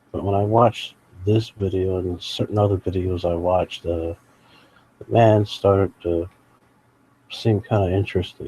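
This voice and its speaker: Quiet, somewhat breathy voice of a man, fairly low in pitch with a dark, mellow tone, fairly even intonation and a fairly slow pace. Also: dry, close sound with no echo. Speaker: live streamer commenting on videos. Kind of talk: live stream commentary. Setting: at home late at night beside sleeping sick mother. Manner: quiet, talking low.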